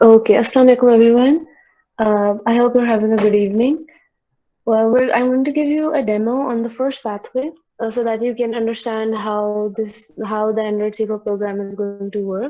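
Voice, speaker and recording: A woman talks at a fairly quick pace. Her pitch is fairly high and her intonation fairly even. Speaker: student tutor. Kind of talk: online tutorial. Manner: fast; halting.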